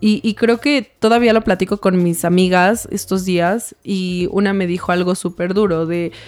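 With hardly any pauses, a woman talks at a medium pitch and with fairly even intonation. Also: fairly slow pace. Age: 20s. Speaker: lawyer and founder of a women's support association. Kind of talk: interview.

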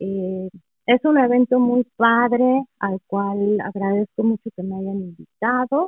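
Her pitch is fairly high for a woman. She speaks at a very slow pace. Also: ordinary pitch variation. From Mexico City. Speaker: professional translator. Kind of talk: casual interview.

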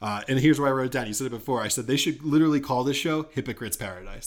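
A man is speaking. His pitch is medium. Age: 30s. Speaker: podcast host. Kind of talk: casual chat. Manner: animated.

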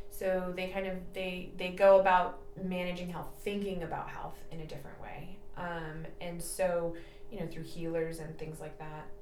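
A woman with an American accent speaks at a moderate pace in a fairly low, monotone, flat voice, with big swings in loudness. Noticeable background noise and audible room echo fill the recording. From California, San Jose area. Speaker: physician assistant. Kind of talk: interview.

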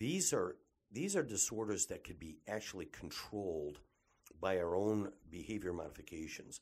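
At a fairly slow pace and with ordinary pitch variation, the speaker talks with a Michigan accent. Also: man. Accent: Midwestern American (Michigan). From Detroit area, Michigan. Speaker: physician (ENT and cosmetic surgeon). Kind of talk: promotional monologue. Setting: clinic office.

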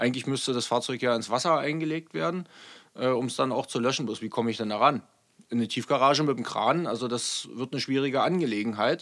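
A man speaks very fast at a medium pitch, with ordinary pitch variation, on a very clean recording with a silent background. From eastern Germany, Saxony (Görlitz). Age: 30s. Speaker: state politician and police officer. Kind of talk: interview conversation.

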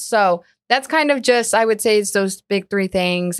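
A woman's ordinary speaking voice at a moderate pace, with ordinary pitch variation, on a very clean recording with a silent background. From Colombia, moved to South Florida. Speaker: commercial real estate advisor. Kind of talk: casual interview.

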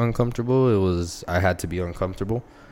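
A man with an American accent, a fairly low pitch, ordinary pitch variation, a normal speaking voice and a fairly quick pace. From El Paso, Texas. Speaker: small business owner. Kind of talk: casual chat.

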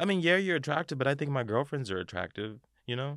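In an ordinary speaking voice, a man at medium pitch talks at a fairly quick pace with lively intonation, on a very clean recording with a silent background. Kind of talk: casual chat.

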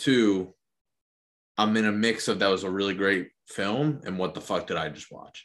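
A man with an unremarkable speaking voice talks at a moderate pace in a fairly low pitch with ordinary pitch variation. His loudness swings widely against a quiet background. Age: 20s. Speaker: podcast co-host. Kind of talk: casual banter.

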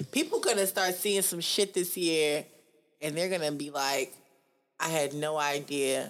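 With a fairly low pitch, the woman talks at a moderate pace. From New York. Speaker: podcast co-host. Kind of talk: casual chat. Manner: animated.

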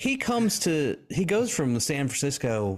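Very wide pitch swings from a man in a Southern US accent, on a very clean recording with a silent background. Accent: Southern US (Georgia). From US South, southeast Georgia. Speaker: researcher and podcaster. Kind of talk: interview.

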